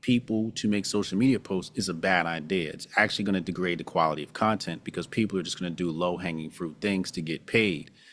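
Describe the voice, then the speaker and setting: This speaker has an American accent and a fairly quick pace. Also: man. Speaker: social media commentator. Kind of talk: podcast interview. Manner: plain-spoken.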